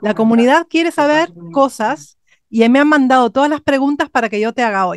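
A woman with a high pitch speaks at a moderate pace in an animated tone and lively intonation, the sound dry with no echo against a quiet background. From Spain. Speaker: vocal coach. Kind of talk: interview. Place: studio. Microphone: studio mic.

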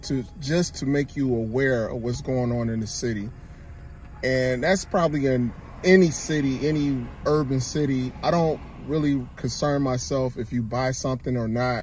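There is light background noise, and the sound is dry with no echo. A man speaks at a moderate pace with ordinary pitch variation. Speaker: vlogger. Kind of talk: casual vlog chat. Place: car. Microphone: phone near.

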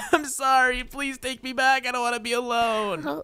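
At a fairly high pitch, the speaker performs a put-on character voice. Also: moderate pace. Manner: pleading, desperate.

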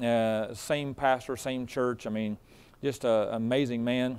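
A man speaks at a fairly slow pace. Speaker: preacher. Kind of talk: sermon, informal story before it. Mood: warm, chatty. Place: church.

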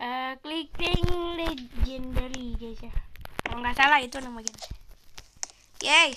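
With noticeable background noise behind her, a woman speaks at a fairly slow pace and high pitch, with fairly even intonation, big swings in loudness and long, frequent pauses. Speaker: gaming YouTuber. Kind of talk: gameplay commentary. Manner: casual, rambling.

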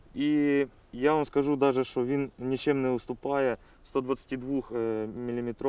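A man's voice has a dark, mellow tone and fairly even intonation in a dry sound with no echo. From Ukraine. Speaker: special forces officer. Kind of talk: on-camera briefing showing captured weapons. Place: open country. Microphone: lapel.

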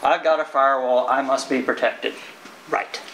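The speaker has an American accent and keeps a moderate pace. Light background noise can be heard. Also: man. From Texas. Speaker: IT security engineer. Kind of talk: conference talk. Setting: stage with audience. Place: meeting room. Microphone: camera far.

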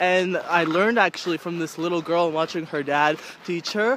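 A man's high-pitched voice at a moderate pace, dry with no echo, over light background noise. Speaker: vlogger. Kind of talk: casual vlog chat. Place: open country. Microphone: phone near.

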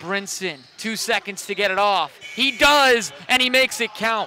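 In an excited tone, a man with a high pitch speaks in a raised, projected voice at a fairly slow pace with ordinary pitch variation, over noticeable background noise. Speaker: basketball broadcaster. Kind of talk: live sports commentary. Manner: excited, punchy exclamations.

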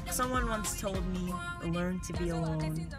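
A woman speaks at a moderate pace while clear music plays behind her. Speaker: college student vlogger. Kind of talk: casual vlog chat. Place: car.

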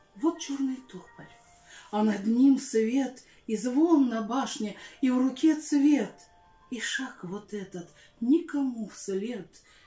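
The voice moves at a very slow pace with very wide pitch swings, set in audible room echo with music in the background. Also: woman. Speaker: Russian language and literature teacher. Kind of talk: poetry reading. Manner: heartfelt, expressive. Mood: dramatic, expressive, wistful. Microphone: phone near.

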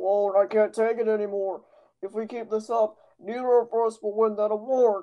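At a moderate pace, a woman talks in a fairly high pitch with monotone, flat intonation. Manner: sarcastic, scornful.

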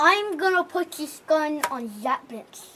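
Using a put-on character voice, a woman talks in a high pitch at a fairly slow pace. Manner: put-on, playful, changing voice.

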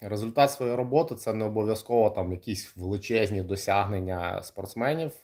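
Recorded very cleanly against a silent background, a man speaks at a moderate pace with a dark, mellow tone and a fairly low pitch. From Kryvyi Rih, Ukraine. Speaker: kickboxer and coach. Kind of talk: livestream monologue. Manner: casual, hesitant with fillers.

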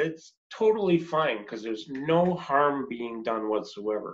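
The man's intonation is lively. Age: 50s. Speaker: personal trainer and interview host. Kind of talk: interview. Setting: remote call. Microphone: video call.

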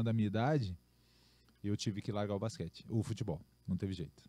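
In a dry sound with no echo, a man talks at a very fast pace in a dark, mellow tone. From Rio Grande do Sul, Brazil. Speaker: professional basketball player; podcast guest. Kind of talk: casual podcast interview. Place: studio. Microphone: studio mic.

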